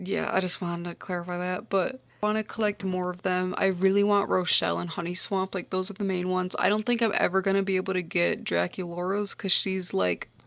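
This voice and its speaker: Speaking in an American accent, a woman uses a medium pitch and a flat, monotone delivery. She goes at a fairly quick pace with hardly any pauses. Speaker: doll collector YouTuber. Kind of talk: casual vlog talk to camera. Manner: casual, lots of filler like.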